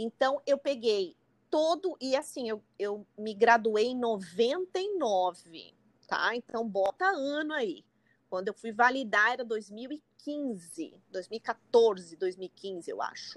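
Speaking very slowly, a woman with a fairly high pitch makes very wide pitch swings, and the sound is dry and close with no echo. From Brazil, São Paulo. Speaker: psychotherapist. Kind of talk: casual interview.

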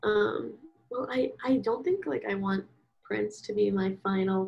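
This woman talks with an American accent. Her pace is fairly slow. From US Northeast, Philadelphia. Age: 20s. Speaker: college student and small-business artist. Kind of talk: casual interview chat.

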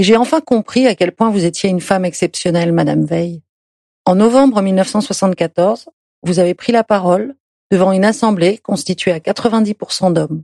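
A dark, mellow tone comes at a fairly slow pace with very even loudness, the sound dry and close with no echo. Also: woman, medium pitch for a woman, ordinary pitch variation. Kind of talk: reading aloud a letter.

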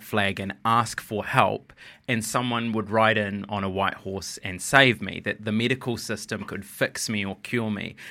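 A man with a New Zealand accent speaks at a moderate pace, his pitch fairly low and his tone bright and sharp. The recording is very clean, with a silent background. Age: 30s. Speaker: writer and TV journalist. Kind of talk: interview conversation.

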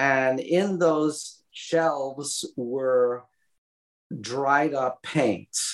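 Here is a man with a fairly high pitch and a Brooklyn accent. He speaks at a very slow pace with ordinary pitch variation. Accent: Brooklyn New York. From Brooklyn, New York. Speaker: graphic novel author. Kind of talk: casual interview. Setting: remote call.

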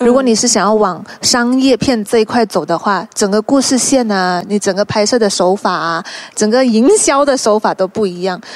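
The pace here is moderate. It is a normal speaking voice whose pitch varies in an ordinary way. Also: woman, fairly high pitch for a woman. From Malaysia, Hokkien Chinese family. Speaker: actress. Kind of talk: casual chat.

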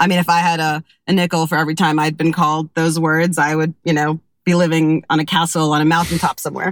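In a dry, close sound with no echo, a woman with an American accent speaks at a very fast pace in a fairly low pitch, with monotone, flat intonation and very even loudness. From Kentucky, US. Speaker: newspaper culture editor. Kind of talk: casual chat.

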